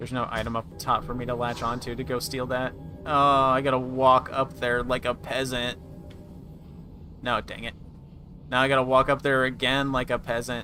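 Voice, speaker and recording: There is music in the background as a man speaks with a medium pitch. His intonation is fairly even, and he takes long, frequent pauses. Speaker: gaming streamer. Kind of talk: live gameplay commentary. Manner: fast.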